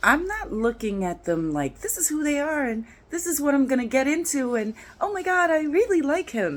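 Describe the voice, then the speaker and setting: Her pitch is high and swings very widely. The woman talks at a moderate pace with a New York accent. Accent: New York twang. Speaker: dating and relationship vlogger. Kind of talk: casual vlog monologue. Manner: animated, conversational with fillers.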